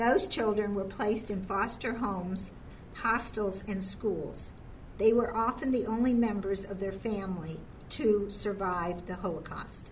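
A woman speaks fairly slowly in a plain, everyday voice, at a medium pitch with fairly even intonation. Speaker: museum audio tour narrator. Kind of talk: scripted audio tour narration. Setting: museum audio guide. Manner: formal, measured, even-paced; calm, informative, solemn.

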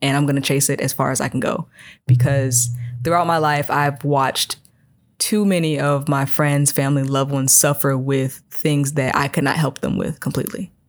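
Very deep and low-pitched, a woman's voice moves at a moderate pace with fairly even intonation over a very clean, silent background. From US Midwest, Chicago south suburbs. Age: 20s. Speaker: air force airman. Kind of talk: casual interview.

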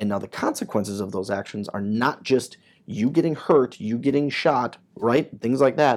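A man speaks in an ordinary speaking voice at medium pitch, at a moderate pace and with ordinary pitch variation. The recording is very clean, with a silent background. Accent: American. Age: 30s. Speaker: military first sergeant. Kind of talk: interview. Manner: conversational, with many fillers.

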